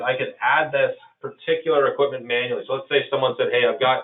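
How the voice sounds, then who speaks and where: A man speaks with a Canadian accent. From Canada. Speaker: software presenter. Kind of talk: software demo webinar. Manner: casual, with filler words.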